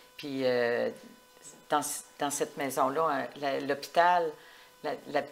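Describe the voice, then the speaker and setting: A woman with a very deep, low pitch talks at a very slow pace with fairly even intonation. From Quebec, Portneuf region. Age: 70s. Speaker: retired municipal clerk. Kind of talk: interview. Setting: at her home.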